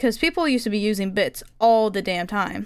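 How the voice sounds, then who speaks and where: A woman talks at a fairly quick pace with ordinary pitch variation against a quiet background. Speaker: video game streamer. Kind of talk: casual live-stream chat while crafting. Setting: home streaming setup with a finicky mic. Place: home room. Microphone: headset.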